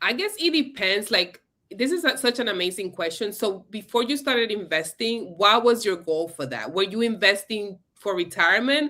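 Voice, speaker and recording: With a Spanish accent and a bright, sharp tone, the speaker keeps a moderate pace with lively intonation and hardly any pauses. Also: woman, fairly high pitch for a woman. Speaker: investing educator. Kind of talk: live stream conversation. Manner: casual, with hesitations and restarts.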